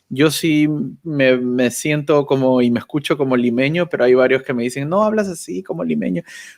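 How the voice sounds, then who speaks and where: This man's intonation is lively. He speaks at a moderate pace with a medium pitch. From Peru, Lima. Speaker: YouTuber, communications professional. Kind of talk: casual interview chat. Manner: halting, with fillers and repetitions.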